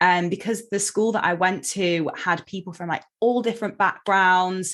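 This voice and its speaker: A woman with an American accent and an unremarkable speaking voice, fairly even intonation, and a quiet background. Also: medium pitch for a woman, moderate pace. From England (Derby), partly Seattle as a child. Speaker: eating disorder therapist. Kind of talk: podcast interview. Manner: casual, many fillers (um, like).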